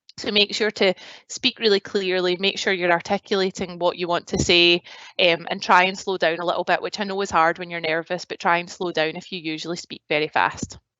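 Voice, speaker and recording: With a strong Glasgow accent, a woman speaks at a fairly quick pace in a fairly low voice with a monotone, flat intonation. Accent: strong Glaswegian Scottish. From Scotland, Glasgow. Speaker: graduate recruitment advisor. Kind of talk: presentation. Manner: casual, many fillers.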